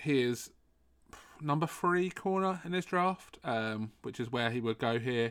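Speaking in a British accent, a man uses a medium pitch and ordinary pitch variation. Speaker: podcast host. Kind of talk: casual commentary. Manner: halting, many fillers.

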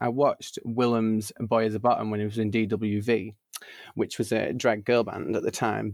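A man with a Lancashire accent speaks at a moderate pace. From northern England, Burnley, Lancashire. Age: 20s. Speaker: drag performer. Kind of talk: casual chat. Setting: home studio. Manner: animated.

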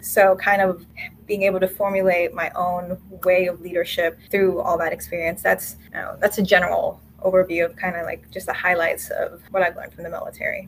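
Against noticeable background noise, a woman talks at a fairly quick pace with big swings in loudness. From Philippines. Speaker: air force captain. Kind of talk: casual interview chat.

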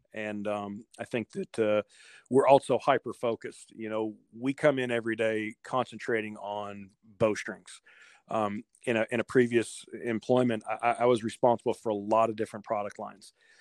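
A man at medium pitch and moderate pace, monotone and flat in intonation, with a dry, close sound and no echo. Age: 40s. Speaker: bowstring company owner. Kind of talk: interview. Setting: phone call.

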